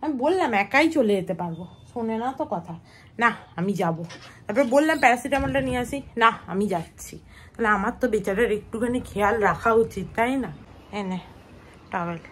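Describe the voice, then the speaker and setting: This woman's voice is fairly high and somewhat breathy. Her pitch swings very widely as she speaks. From West Bengal, India. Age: 20s. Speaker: lifestyle vlogger. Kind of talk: casual vlog narration.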